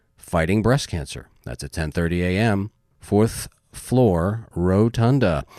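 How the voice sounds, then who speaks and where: Against a quiet background, a man with a fairly low pitch speaks with lively intonation. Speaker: fill-in podcast host. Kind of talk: news podcast hosting and interview. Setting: studio.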